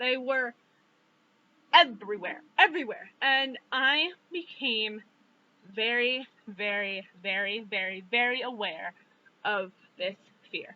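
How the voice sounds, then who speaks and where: A woman talks at a fairly slow pace, her intonation lively. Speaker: vlogger. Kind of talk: personal vlog monologue. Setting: outdoors. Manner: hesitant, many fillers.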